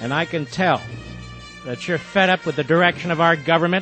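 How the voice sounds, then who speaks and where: A man is speaking. Music plays in the background. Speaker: political radio host. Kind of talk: political pep talk monologue. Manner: impassioned, rousing.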